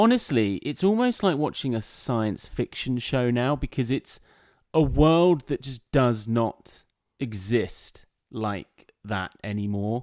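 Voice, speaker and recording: Lively intonation comes with an English accent at a very slow pace. The sound is dry and close with no echo, on a very clean recording against a silent background. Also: man, medium pitch for a man. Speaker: podcast co-host, content creator. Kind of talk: casual chat. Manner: loud.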